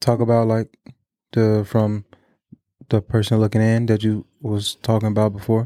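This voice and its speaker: A mumbling man with a dark, mellow tone, flat monotone intonation and very even loudness, at a moderate pace with long, frequent pauses, in a dry, close sound with no echo. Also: medium pitch for a man. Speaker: podcast co-host. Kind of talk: casual chat.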